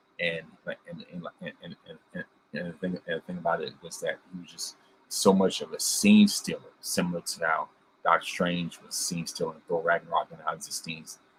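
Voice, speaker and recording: Music plays behind a man speaking. His loudness swings widely. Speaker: podcast host. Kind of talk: casual review monologue. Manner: fast; halting, many repetitions.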